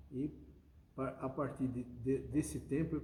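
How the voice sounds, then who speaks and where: A dark, mellow tone with vocal fry and fairly even intonation, set in audible room echo. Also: man. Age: 70s. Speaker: automotive engineer and business owner. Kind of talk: interview. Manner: halting.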